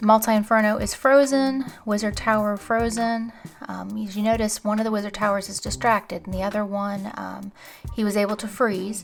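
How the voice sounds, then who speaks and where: A woman's fairly high, monotone voice with flat intonation and big swings in loudness, music playing in the background. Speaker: gaming video commentator. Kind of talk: gameplay commentary. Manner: fast; casual, with filler words.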